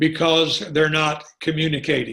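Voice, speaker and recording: Here is a man with an unremarkable speaking voice. He talks at a fairly high pitch and a fairly slow pace. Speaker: marriage and family therapist. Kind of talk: online teaching session. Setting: online call.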